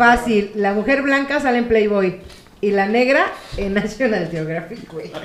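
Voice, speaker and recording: A woman speaks with lively intonation at a fairly high pitch. Audible room echo and noticeable background noise run through the clip. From Mexico, Querétaro. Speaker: podcast co-host. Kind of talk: casual chat, telling jokes.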